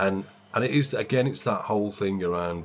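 The man's voice is very deep and low, with ordinary pitch variation at a moderate pace. The recording is very clean, the background silent. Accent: slight West Midlands. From West Midlands, England. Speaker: bookshop owner and publisher. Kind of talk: interview. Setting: in his bookshop.

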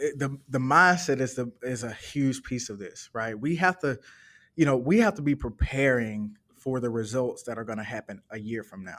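A man with an American accent uses an ordinary speaking voice at medium pitch and moderate pace, with ordinary pitch variation, big swings in loudness and a very clean recording with a silent background. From US South, Birmingham, Alabama. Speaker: entrepreneur. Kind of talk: interview.

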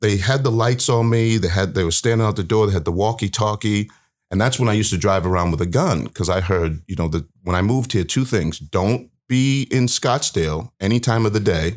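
A man with an East Coast US accent, fairly quick and fairly low-pitched, with ordinary pitch variation and very even loudness, in a very clean recording with a silent background. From US East Coast, Baltimore. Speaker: community speaker sharing experiences with police. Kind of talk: interview storytelling.

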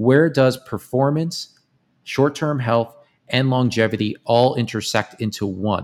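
An unremarkable speaking voice from a man, medium in pitch with ordinary pitch variation, at a fairly slow pace in a very clean recording with a silent background. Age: 30s. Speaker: supplement company founder and CEO. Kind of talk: podcast interview.

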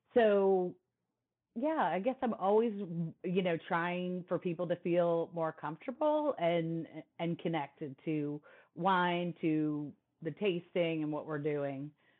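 An unremarkable speaking voice from a woman, fairly low in pitch, fairly slow, with lively intonation. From New Jersey. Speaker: sommelier and wine speaker. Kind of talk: interview conversation.

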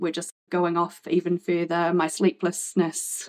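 Recorded dry and close with no echo, a woman speaks at a medium pitch with a New Zealand accent. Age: 40s. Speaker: podcast guest with ADHD. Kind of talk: interview testimony.

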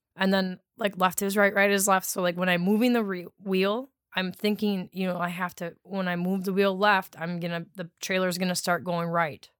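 Speaking in an Upper Midwest accent at a moderate pace, a woman with a medium-pitched voice keeps a monotone, flat intonation with hardly any pauses on a very clean recording with a silent background. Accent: Upper Midwest (Wisconsin). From Wisconsin, US Midwest. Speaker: wastewater treatment operator. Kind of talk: casual chat. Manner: loud, not soft-spoken.

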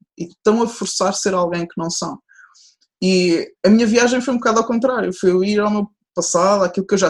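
A woman talks, her pitch varying in an ordinary way. No echo is heard, and the sound is dry and close. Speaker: sports psychologist. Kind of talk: interview. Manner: fast.

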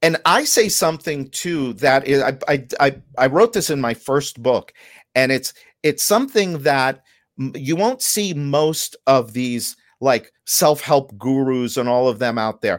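A man has a normal speaking voice with a fairly high pitch and ordinary pitch variation, at a fairly slow pace. The recording is very clean with a silent background and a dry, close sound with no echo. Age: 50s. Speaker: contractor business coach and podcaster. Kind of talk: interview.

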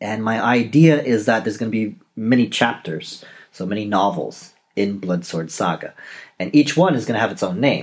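A man talks in an ordinary speaking voice at medium pitch. He speaks at a moderate pace with a Canadian accent. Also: lively intonation. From Canada, Toronto. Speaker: novelist and podcast host. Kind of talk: solo podcast monologue.

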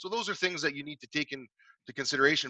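Recorded with a dry, close sound and no echo, a man with a Canadian accent has a bright, sharp tone. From Canada, Saskatchewan (Regina). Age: 40s. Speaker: business owner and former football player. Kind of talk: interview.

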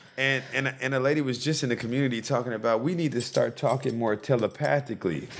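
Noticeable background noise sits behind a man who speaks at a very fast pace with hardly any pauses and fairly even intonation. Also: medium pitch for a man. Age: 30s. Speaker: crystal seller and community figure. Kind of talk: casual chat. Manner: halting.

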